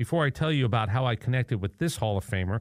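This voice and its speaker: A man talks at a very fast pace. His pitch shows ordinary variation. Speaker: podcast host. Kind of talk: interview and scripted intro.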